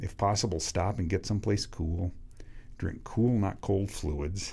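A man with an American accent speaks at a fairly slow pace in a fairly low pitch, his dark, mellow tone somewhat breathy, with ordinary pitch variation. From US Pacific Northwest, Washington State. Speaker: cycling coach. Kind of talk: casual chat.

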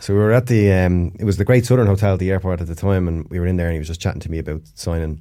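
A man with an Irish accent, very deep and low in pitch, dark and mellow in tone, at a very fast pace with ordinary pitch variation. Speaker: former footballer. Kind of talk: casual chat. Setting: studio.

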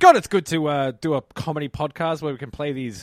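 With an Australian accent, a man talks at a fairly quick pace in a fairly high pitch, his pitch varying an ordinary amount. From Melbourne, Australia. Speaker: comedian. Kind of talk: casual comedic chat. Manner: fast talker.

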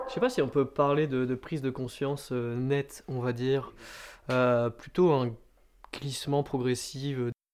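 At a fairly slow pace, a man talks at a medium pitch in a monotone, flat intonation. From France, Landes (southwest). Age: 20s. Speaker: student political activist. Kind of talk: interview. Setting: at home over a beer. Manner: hesitant with fillers.

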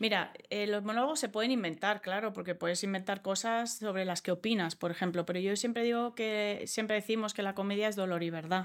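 On a very clean recording with a silent background, a woman speaks at a medium pitch with fairly even intonation, very even loudness and hardly any pauses. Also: fairly quick pace. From Australia. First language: English (speaking Spanish). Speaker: comedian. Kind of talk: interview.

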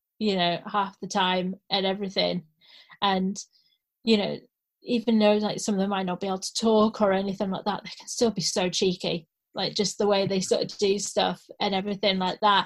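Pitched at a medium level, a woman talks at a moderate pace in a flat monotone. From Scotland, then Carlisle. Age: 30s. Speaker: actor and supply teacher. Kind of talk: casual chat.

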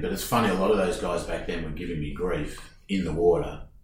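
A somewhat breathy voice in an Australian accent, with audible room echo around it. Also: man. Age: 50s. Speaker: surfboard shaper. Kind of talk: casual chat. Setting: studio.

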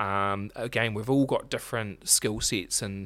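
With a New Zealand accent, a man speaks at a moderate pace with ordinary pitch variation on a very clean recording with a silent background. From New Zealand, Marlborough. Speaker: accounting firm director. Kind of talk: interview.

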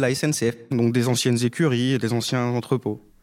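Fairly quick speech from a man, backed by music. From rural France, Haute-Marne. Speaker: primary school teacher. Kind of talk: interview testimony. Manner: hesitant, repeats words.

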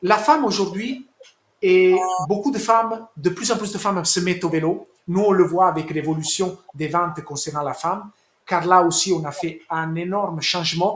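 The voice moves at a moderate pace with ordinary pitch variation. Long, frequent pauses break up the speech. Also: man, high pitch for a man. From Italy. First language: Italian (speaking French). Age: 40s. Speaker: sports sponsorship manager. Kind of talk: interview. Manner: halting.

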